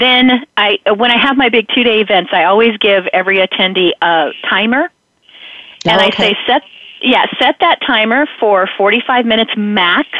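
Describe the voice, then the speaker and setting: With a normal speaking voice, a woman speaks at a fairly high pitch and moderate pace, her loudness very even and her pitch variation ordinary. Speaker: brain expert. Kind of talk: radio interview.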